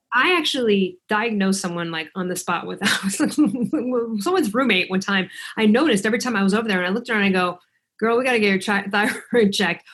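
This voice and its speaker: At a very fast pace, a woman speaks in an animated tone at a medium pitch. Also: ordinary pitch variation. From US Midwest, Chicago. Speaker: author and thyroid coach. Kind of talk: casual interview chat.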